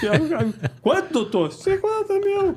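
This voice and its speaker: A put-on character voice with an extremely high pitch. It moves at a very slow pace over light background noise. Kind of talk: quiet, bashful. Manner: timid, shy.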